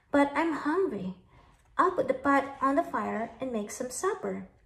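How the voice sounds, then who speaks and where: Using a put-on character voice, a woman talks at a moderate pace and a high pitch. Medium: read story.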